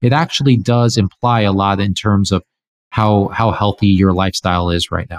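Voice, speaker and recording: A man at a moderate pace, fairly low pitch, ordinary pitch variation, an ordinary speaking voice, very clean recording, silent background. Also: dry, close sound with no echo. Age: 30s. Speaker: entrepreneur and longevity researcher. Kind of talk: interview.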